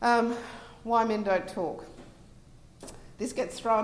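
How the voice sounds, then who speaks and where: A woman with an Australian accent is heard through audible room echo and noticeable background noise. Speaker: relationship coach. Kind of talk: conference presentation. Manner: hesitant, many fillers.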